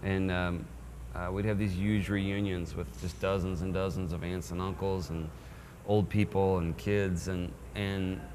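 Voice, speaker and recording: A man's very deep, low voice at a fairly slow pace, with an American accent and audible room echo. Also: ordinary pitch variation. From Texas. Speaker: singer-songwriter. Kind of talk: interview.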